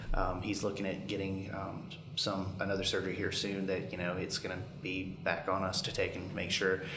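Over noticeable background noise, a man with a very deep, low voice speaks at a moderate pace with fairly even intonation and hardly any pauses. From rural Alabama. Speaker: paramedic and family caregiver. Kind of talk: casual chat.

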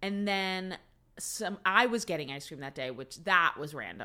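A woman with an American accent speaks in a bright, sharp tone. Her intonation is lively and her pace moderate. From New Jersey, US. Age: 40s. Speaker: host's mother. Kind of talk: casual chat. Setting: recording at home.

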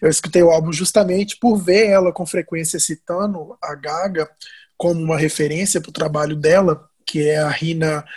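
Over a quiet background, a man with a high pitch uses fairly even intonation while his loudness swings widely. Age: 20s. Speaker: marketing coordinator. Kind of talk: casual chat.

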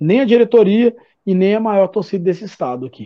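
A man speaks at a moderate pace. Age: 40s. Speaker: football fan commentator. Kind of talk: casual chat.

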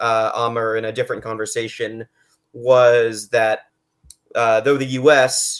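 On a very clean recording with a silent background, a man with an American accent speaks at a medium pitch and a fairly slow pace in a flat monotone. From United States. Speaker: podcast host. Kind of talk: casual interview.

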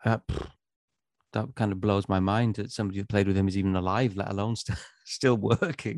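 Speaking with a Welsh accent, a man uses a fairly low pitch, fairly even intonation and a fairly quick pace, broken by long, frequent pauses. The sound is dry and close, without echo. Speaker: musician. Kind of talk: casual chat.

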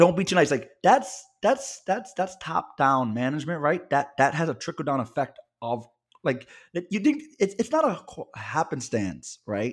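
On a very clean recording with a silent background, a man with a fairly high pitch shows vocal fry and very wide pitch swings. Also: fairly slow pace. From Puerto Rican family, New York area. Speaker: podcast co-host, attorney. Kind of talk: casual chat.

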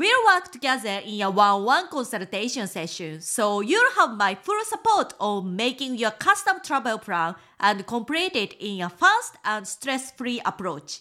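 A woman with a Japanese accent, a bright, sharp tone, fairly high pitch, very wide pitch swings and a fairly slow pace. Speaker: travel guide and podcast host. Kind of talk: scripted podcast monologue.

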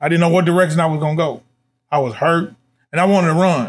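A man races along at a very fast pace on a very clean recording with a silent background. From Nashville, Tennessee (inner city). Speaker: school administrative assistant, youth mentor. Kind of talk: life story interview. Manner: repetitive filler, stammering repeats.

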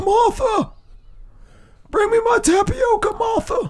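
Using a put-on character voice, a man speaks fairly slowly at an extremely high pitch. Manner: demanding, calling out to wife.

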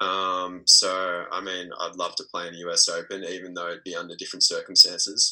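A man with an Australian accent speaks with big swings in loudness. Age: 20s. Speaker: professional tennis player. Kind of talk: interview.

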